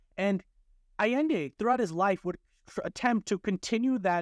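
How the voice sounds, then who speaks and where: Speaking at a fairly quick pace with a non-native accent, a man sounds dry and close with no echo against a quiet background. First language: not Spanish. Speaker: podcast host. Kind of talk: history narration from notes. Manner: casual, with fillers and false starts.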